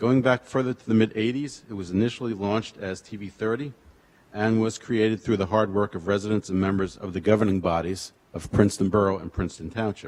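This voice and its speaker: Very fast pace from a man with a fairly low pitch. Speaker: public commenter at council meeting. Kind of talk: public comment reading prepared speech. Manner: monotone.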